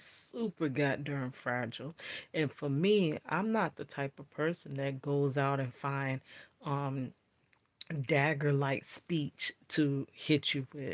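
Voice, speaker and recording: A woman speaks at a very slow pace in a very deep, low pitch. The recording is very clean and silent behind her, with a dry, close sound and no echo. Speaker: vlogger. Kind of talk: casual talk to camera. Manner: slow, deliberate.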